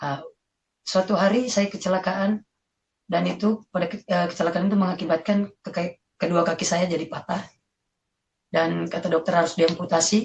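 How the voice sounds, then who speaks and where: A woman speaks in a somewhat breathy, fairly low voice with fairly even intonation. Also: moderate pace. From South Sulawesi, Indonesia (Bugis, Parepare). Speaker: convert giving testimony. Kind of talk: testimony. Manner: casual, hesitant with fillers.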